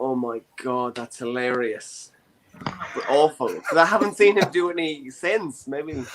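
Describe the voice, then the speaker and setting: Delivered at a fairly slow pace with lively intonation, the voice carries a Dublin accent. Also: man, fairly high pitch for a man. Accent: Irish (Dublin). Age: 20s. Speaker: comedy show host. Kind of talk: casual chat. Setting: online show from his bedroom.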